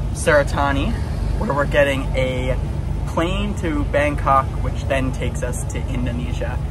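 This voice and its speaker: A man is speaking. Music plays in the background. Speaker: travel vlogger. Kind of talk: casual vlog chat. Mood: cheerful, laughing. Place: boat. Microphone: phone near.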